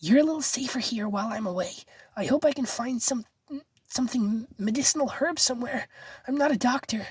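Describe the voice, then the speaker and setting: In a put-on character voice, a woman speaks at a fairly quick pace, raspy and high-pitched with ordinary pitch variation. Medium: read story.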